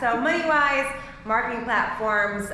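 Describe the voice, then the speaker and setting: A woman with an American accent speaks at a fairly slow pace in a high pitch, her intonation lively. Audible room echo and noticeable background noise surround her. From Ohio, Cleveland. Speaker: title company representative. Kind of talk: short business introduction at a party. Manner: loud.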